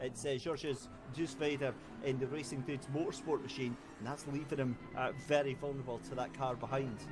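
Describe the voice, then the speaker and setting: A man with a Scottish accent, medium in pitch and fairly quick in pace. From Scotland. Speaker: sim racing commentator. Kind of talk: live commentary. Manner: animated.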